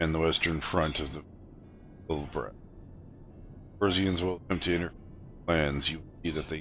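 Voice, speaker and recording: A man's put-on character voice, very deep and low, with fairly even intonation, a fairly quick pace broken by long, frequent pauses, and clear background noise. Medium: game stream. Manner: commanding, formal.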